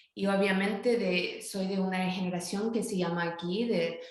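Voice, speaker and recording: A woman speaks at a fairly slow pace with medium pitch and ordinary pitch variation. The recording has audible room echo and noticeable background noise. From northern California, US. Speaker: academic author. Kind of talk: interview. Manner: halting.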